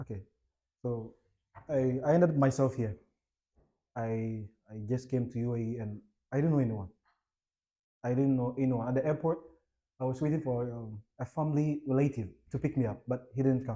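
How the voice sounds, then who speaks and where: A man with a Ghanaian accent talks at a moderate pace, his tone dark and mellow at a medium pitch. His intonation stays fairly even, broken by long, frequent pauses. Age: young. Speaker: entrepreneur and investor. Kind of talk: interview. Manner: halting, with many fillers.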